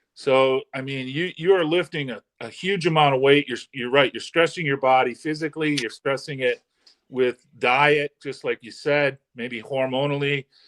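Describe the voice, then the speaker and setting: A man with an ordinary speaking voice, fairly high in pitch, at a moderate pace with fairly even intonation. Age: 60s. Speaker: holistic health doctor. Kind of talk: interview explanation.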